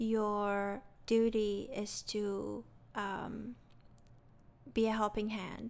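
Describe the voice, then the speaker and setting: At a very slow pace, a woman with a fairly high pitch speaks in a monotone, flat way with long, frequent pauses. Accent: non-native. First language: not English. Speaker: non-profit founder and educator. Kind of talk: interview.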